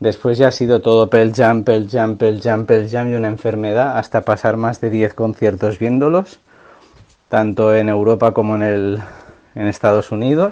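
With an ordinary speaking voice, a man talks at a moderate pace and medium pitch with fairly even intonation. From Catalonia, Pyrenees near Andorra. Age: 30s. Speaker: music fan, cultural promoter. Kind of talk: recorded testimony.

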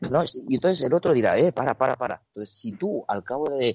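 Here a man talks in a normal speaking voice. His pace is moderate and his intonation lively. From Spain, Barcelona (Catalonia). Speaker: basketball strength and conditioning coach. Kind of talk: interview.

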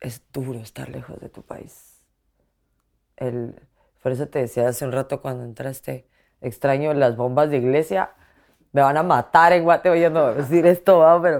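In a very clean recording with a silent background, a woman with a very deep, low pitch swings widely in loudness and leaves long, frequent pauses. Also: ordinary pitch variation, moderate pace. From Guatemala. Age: 30s. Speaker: journalist. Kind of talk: interview testimony. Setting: at her home.

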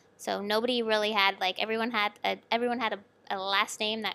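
A woman of medium pitch speaks at a moderate pace with a bright, sharp tone and monotone, flat intonation. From Canada, Toronto area. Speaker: artist and educator. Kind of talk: interview.

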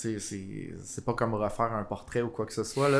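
A man with a normal speaking voice talks at a moderate pace, at medium pitch with fairly even intonation. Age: 30s. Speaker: graphic designer. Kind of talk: casual chat. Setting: coffee shop.

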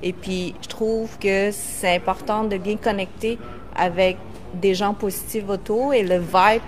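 Over noticeable background noise, a woman speaks at a fairly slow pace in a medium pitch with fairly even intonation. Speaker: co-host of online live show. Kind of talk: casual live-stream chat.

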